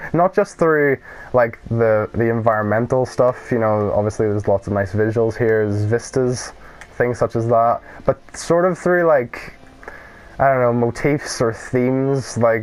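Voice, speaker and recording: Over noticeable background noise, a man with a Northern Irish accent speaks at a medium pitch, with ordinary pitch variation and very even loudness. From Northern Ireland. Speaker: gaming YouTuber. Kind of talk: let's play commentary. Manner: casual, rambling with fillers.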